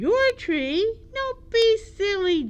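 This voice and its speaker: Through light background noise, a woman puts on a squeaky character voice at an extremely high pitch. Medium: read story. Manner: small, timid.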